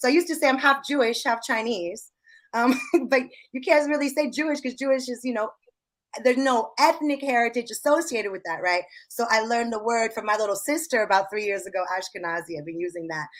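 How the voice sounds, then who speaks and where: Talking at a very fast pace, a woman uses lively intonation with an American accent. Her pitch is fairly high. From Seattle area, Redmond. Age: 30s. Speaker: hip-hop artist and activist. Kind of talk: interview testimony.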